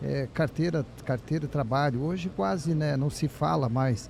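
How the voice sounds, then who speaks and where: Speaking at a moderate pace, a man has a normal speaking voice and a fairly high pitch. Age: 60s. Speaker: business owner. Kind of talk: panel discussion.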